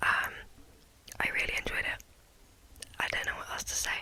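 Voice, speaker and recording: The speech is whispered. Background noise is clearly noticeable. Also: woman. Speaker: ASMR content creator. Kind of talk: ASMR whisper ramble to camera. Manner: whispered, soft-spoken, casual.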